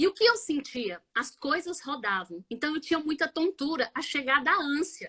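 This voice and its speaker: The voice is raised and projected, bright and sharp in tone, swinging very widely in pitch at a moderate pace in a dry, close sound with no echo. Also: woman, high pitch for a woman, hardly any pauses. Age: 40s. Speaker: biomedical scientist and multiple sclerosis patient. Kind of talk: live interview testimony.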